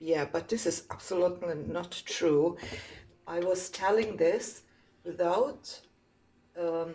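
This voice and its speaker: A woman's fairly low voice with a non-native accent. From Serbia. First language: Serbian. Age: 50s. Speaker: caller. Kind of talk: debate. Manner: halting.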